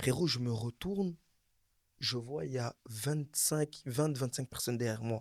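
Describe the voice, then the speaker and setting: Man at medium pitch with an animated tone, moderate pace and ordinary pitch variation, on a very clean recording with a silent background. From Belgium. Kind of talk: casual chat.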